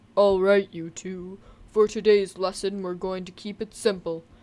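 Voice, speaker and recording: A female-sounding, put-on character voice sits at a middle pitch. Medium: game stream. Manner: authoritative, instructive.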